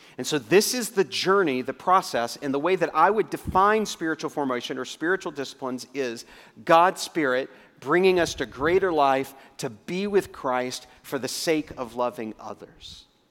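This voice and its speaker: A man speaks in a plain, everyday voice, fairly high-pitched for a man, at a moderate pace with lively intonation, on a very clean recording with a silent background. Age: 50s. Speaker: pastor. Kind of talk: sermon.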